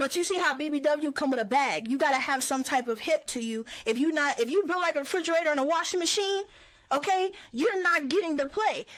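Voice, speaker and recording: A woman's high, energetic voice with lively intonation at a fairly quick pace. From South Side of Chicago. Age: young. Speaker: actress and rapper. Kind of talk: interview answer. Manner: energetic, candid.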